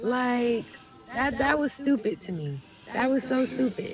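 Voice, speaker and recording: A soft-spoken woman talks at a moderate pace in a fairly high pitch, with noticeable background noise behind her. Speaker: roleplay server police chief. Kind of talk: meeting speech.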